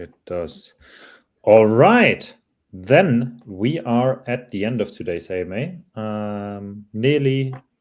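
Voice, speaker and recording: A man with a non-native accent speaks at a very slow pace and medium pitch, his intonation lively. His loudness swings widely on a very clean recording with a silent background. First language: not English. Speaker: livestream moderator. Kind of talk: livestream Q&A moderation. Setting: live stream.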